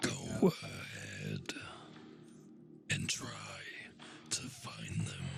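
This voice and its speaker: A man whispering in a put-on character voice at a very slow pace, with long, frequent pauses over clear background music. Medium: actual play.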